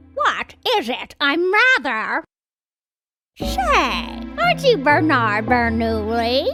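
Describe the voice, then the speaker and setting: With faint music in the background, a woman puts on a high-pitched character voice and speaks at a very slow pace. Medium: video game. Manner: haughty.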